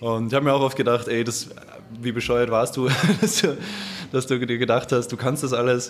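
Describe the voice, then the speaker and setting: There is noticeable background noise behind this man. He speaks at a fairly quick pace and a medium pitch. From Vienna, Austria. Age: 20s. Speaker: head chef. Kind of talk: casual chat. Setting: restaurant.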